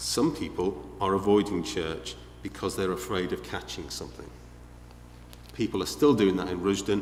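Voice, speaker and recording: With a Liverpool accent, a man talks at a moderate pace in a very deep, low pitch with vocal fry and very wide pitch swings, and audible room echo surrounds him. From northern England, Liverpool. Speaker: visiting preacher. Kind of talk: sermon.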